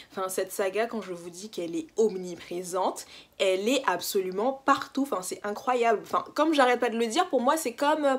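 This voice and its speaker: A woman at high pitch with an animated tone, very wide pitch swings, big swings in loudness, and a fairly quick pace, on a very clean recording with a silent background. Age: 20s. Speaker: book YouTuber. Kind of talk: casual vlog monologue.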